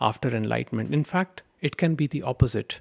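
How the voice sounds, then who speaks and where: The recording is very clean with a silent background, and the intonation is lively. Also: man. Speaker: spiritual teacher. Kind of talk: spiritual talk answering a question. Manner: slow.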